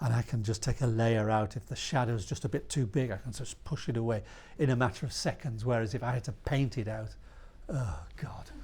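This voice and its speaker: A man with vocal fry speaks at a medium pitch and a fairly quick pace. His pitch varies in an ordinary way. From northern England, Yorkshire (York). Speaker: author and illustrator. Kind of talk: interview at a live talk. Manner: halting, many restarts.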